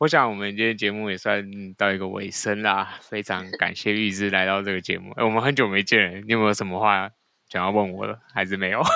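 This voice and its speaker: A man speaks very fast with a fairly low pitch and a bright, sharp tone. His intonation is fairly even, and the recording is very clean with a silent background. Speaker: podcast host. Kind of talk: interview.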